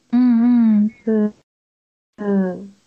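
A woman speaks at a medium pitch. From Japan. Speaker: calligrapher and stationery shop owner. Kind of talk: interview.

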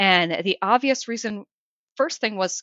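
With lively intonation, a woman with a plain, everyday voice talks at a moderate pace at a fairly high pitch. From Minnesota, US Midwest. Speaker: emergency medicine researcher. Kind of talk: interview.

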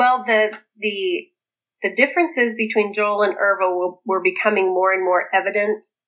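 Speaking at a moderate pace, a woman with a plain, everyday voice keeps a medium pitch with ordinary variation. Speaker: author and former polygamist cult member. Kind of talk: interview, personal life story.

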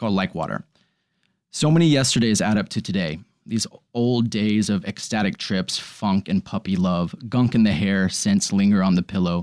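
A normal speaking voice from a man with an American accent, ordinary pitch variation and big swings in loudness, in a dry, close sound with no echo against a quiet background. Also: fairly low pitch for a man, moderate pace. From Texas. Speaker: actor. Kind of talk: casual chat. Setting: in-person recording.

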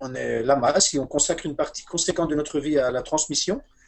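Speaking at a moderate pace, a man has an ordinary speaking voice with a fairly high pitch. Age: 40s. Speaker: Buddhist meditation teacher. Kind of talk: interview about meditation.

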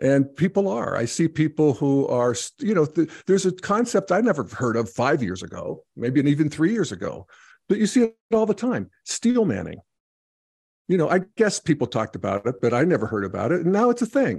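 Vocal fry runs through this fairly quick speech, which has very wide pitch swings. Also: man, fairly high pitch for a man, dry, close sound with no echo, quiet background. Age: 60s. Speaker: podcast host and integral commentator. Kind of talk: casual conversation. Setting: video call. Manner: halting, many fillers.

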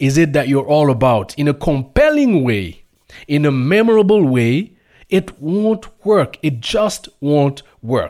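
A man speaks with a French accent at a fairly high pitch. His delivery is very slow, with very wide pitch swings. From Burkina Faso. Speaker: radio host. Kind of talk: radio show monologue. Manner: halting.

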